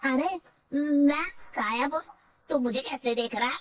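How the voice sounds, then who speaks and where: Using a cartoonish character voice, a woman speaks at a high pitch and moderate pace. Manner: gloating, mischievous.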